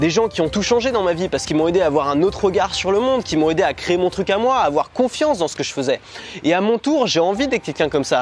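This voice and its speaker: Noticeable background noise sits behind a man who talks at a very fast pace, his high pitch carried by lively intonation. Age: 20s. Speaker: online business YouTuber. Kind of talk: vlog-style sales pitch. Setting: hotel room. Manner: casual, hesitant with fillers.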